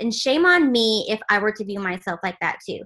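Against a quiet background, the speaker uses a bright, sharp tone and lively intonation at a fairly slow pace. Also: woman. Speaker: team leader training. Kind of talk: training call. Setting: video call. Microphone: video call.

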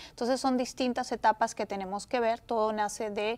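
Monotone and flat, a woman speaks at a moderate pace and fairly high pitch. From Peru. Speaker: real estate agent; guest. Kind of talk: interview. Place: studio.

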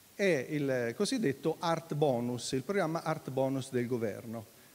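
The man's pitch swings very widely as he talks. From Italy. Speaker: foundation president and moderator; moderator. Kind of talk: event introduction and moderation. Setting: hall with live audience. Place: hall. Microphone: handheld.

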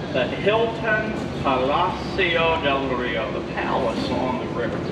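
Against loud background noise, a man talks at a very slow pace. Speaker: boat tour guide. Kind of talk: tour narration. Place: boat.

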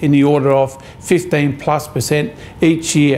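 The speaker is a man. His intonation remains fairly even. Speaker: mayor. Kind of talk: interview answer. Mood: firm, concerned. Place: office.

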